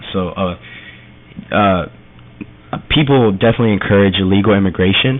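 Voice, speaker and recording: A man talks at a fairly quick pace with a very deep, low pitch. His pitch varies in an ordinary way, and there is noticeable background noise. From Honduras, raised in Miami Florida. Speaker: college student, DACA recipient. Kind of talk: radio interview. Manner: halting.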